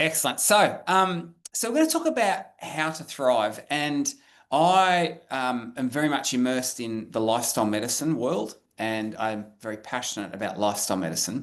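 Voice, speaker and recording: A man with an Australian accent speaks at a moderate pace and medium pitch, with hardly any pauses. His intonation is lively, and the background is quiet. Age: 50s. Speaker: professor. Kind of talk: webinar lecture. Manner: halting, many fillers.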